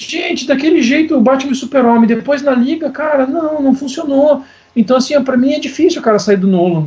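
A man speaks at an extremely high pitch and a fairly quick pace, with ordinary pitch variation. Noticeable background noise is present. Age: 40s. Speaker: comics researcher and writer. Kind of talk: casual chat. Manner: animated.

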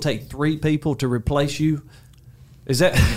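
There is noticeable background noise as a man speaks at a moderate pace with a fairly high pitch. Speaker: podcast host. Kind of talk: interview. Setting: studio.

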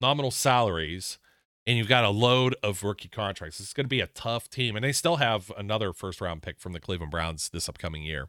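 Vocal fry runs through a bright, sharp tone and lively intonation, captured dry and close with no echo on a very clean recording with a silent background. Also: man. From US Midwest, Youngstown, Ohio. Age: 40s. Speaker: sports podcast host. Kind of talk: casual solo sports commentary.

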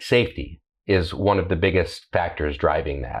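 A man speaks in a very deep, low voice. His pitch variation is ordinary. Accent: American. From Columbus, Ohio, US Midwest. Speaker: senior editor, car journalist. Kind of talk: casual chat, podcast discussion.

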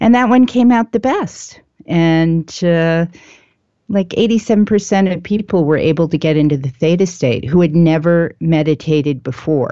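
A woman with a fairly low-pitched voice speaks at a moderate pace. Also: lively intonation. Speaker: meditation author. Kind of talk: casual interview.

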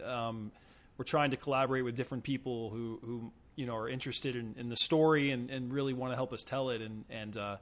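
At a fairly quick pace, a man talks in a plain, everyday voice of medium pitch with fairly even intonation. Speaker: film composer and podcast producer. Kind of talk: casual interview chat. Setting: call.

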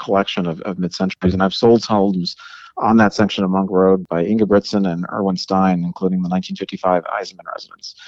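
A man with an unremarkable speaking voice, fairly low in pitch, with fairly even intonation. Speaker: realtor. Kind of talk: interview.

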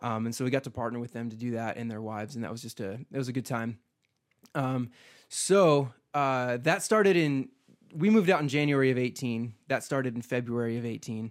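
Fairly quick, medium-pitched speech from a man with an American accent and ordinary pitch variation, in a very clean recording with a silent background. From US Midwest. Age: young. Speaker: pastor. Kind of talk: interview.

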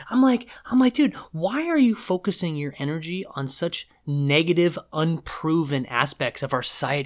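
With a West Coast accent, a high-pitched man talks at a moderate pace with very wide pitch swings on a very clean recording with a silent background. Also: hardly any pauses. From US Pacific Northwest, Seattle. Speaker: podcast guest. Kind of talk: casual chat.

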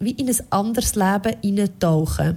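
Her pitch shifts up and down in an ordinary way as the woman talks. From rural Switzerland. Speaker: radio podcast co-host. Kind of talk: casual chat.

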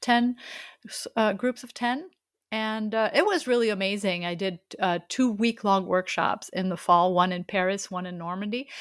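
A woman with a French accent speaks at a moderate pace and medium pitch, with ordinary pitch variation and big swings in loudness. The recording is very clean with a silent background. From France. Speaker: street photographer and workshop teacher. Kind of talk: casual interview.

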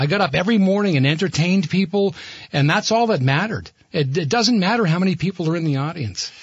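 A man talks at a very fast pace and a high pitch, with ordinary pitch variation, over noticeable background noise. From Vermont, Burlington. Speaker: radio host. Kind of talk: casual chat; sponsor reads.

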